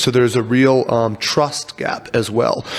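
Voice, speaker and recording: A man talks at a medium pitch with an American accent. Noticeable background noise sits behind him. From US, Virginia. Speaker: agritech startup founder. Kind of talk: interview. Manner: fast.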